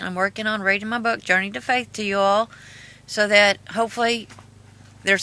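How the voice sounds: In a bright, sharp tone, a woman speaks at a moderate pace with a medium pitch and fairly even intonation.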